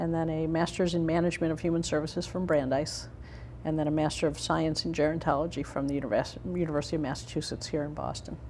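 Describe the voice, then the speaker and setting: In a room with audible echo, a woman talks very fast in a very deep, low voice with a monotone, flat intonation. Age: 60s. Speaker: state elder affairs official. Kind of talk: interview.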